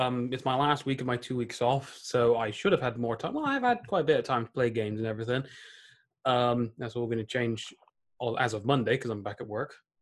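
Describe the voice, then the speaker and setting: A man with a British accent and medium pitch talks at a fairly quick pace against a quiet background. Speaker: podcast co-host, gamer.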